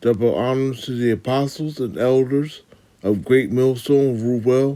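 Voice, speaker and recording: A man speaks fairly slowly with fairly even intonation. His tone is dark and mellow. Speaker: religious teacher giving lessons. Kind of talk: testimony. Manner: halting.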